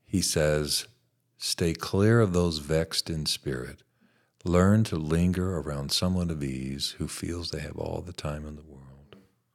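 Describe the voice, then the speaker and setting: A man with an American accent, very deep and low in pitch, ordinary pitch variation and big swings in loudness, on a very clean recording with a silent background. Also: fairly slow pace. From US Colorado. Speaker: pastor and counselor. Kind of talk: interview conversation. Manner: slow, thoughtful speaker.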